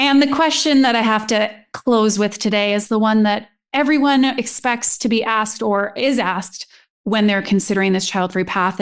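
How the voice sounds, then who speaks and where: Over a quiet background, a woman speaks in a normal speaking voice at a moderate pace, with a fairly high pitch, ordinary pitch variation and very even loudness. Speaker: podcast host. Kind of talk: podcast interview.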